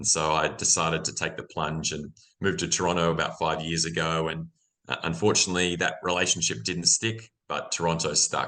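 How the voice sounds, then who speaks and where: A man with an Australian accent speaks fairly quickly in a very deep, low voice with vocal fry and a bright, sharp tone. His pitch varies in an ordinary way over a quiet background. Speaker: mining executive. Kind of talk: interview. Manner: many fillers and repetitions.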